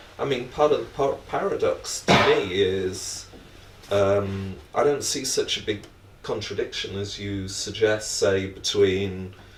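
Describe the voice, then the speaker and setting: A man talks fairly slowly, with room echo clearly audible around his voice. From Britain. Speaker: academic panelist. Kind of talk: panel discussion.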